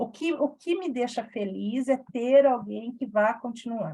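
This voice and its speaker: A woman's fairly high voice with a dark, mellow tone, lively intonation and a very slow pace. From Brazil, São Paulo interior (Campinas region). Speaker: reading club facilitator. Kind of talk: casual small-group reading session.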